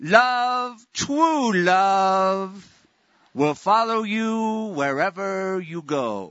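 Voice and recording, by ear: A man puts on a character voice, talking very slowly in a high register.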